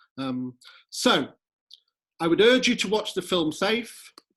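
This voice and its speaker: A man speaks with lively intonation. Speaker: housing hub director. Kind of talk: presentation. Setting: video call. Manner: rambling, hesitant.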